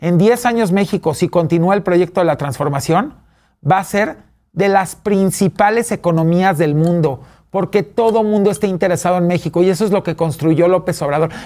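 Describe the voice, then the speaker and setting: A man speaks at a high pitch and a moderate pace, with ordinary pitch variation. His loudness stays very even. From Mexico City. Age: 40s. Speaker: businessman and fashion expert; talk show guest. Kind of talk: interview. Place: studio.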